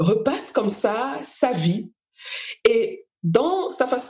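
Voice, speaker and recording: Her pitch swings very widely, and her voice is somewhat breathy. The woman speaks at a very slow pace. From Cameroon. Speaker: podcast host, literary magazine founder. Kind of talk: interview conversation.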